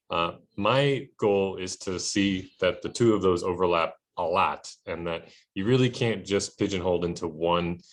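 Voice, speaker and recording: A man with a very deep, low voice and ordinary pitch variation speaks over a quiet background. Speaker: high school art teacher. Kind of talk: recorded course introduction for students. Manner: fast; casual, lots of fillers.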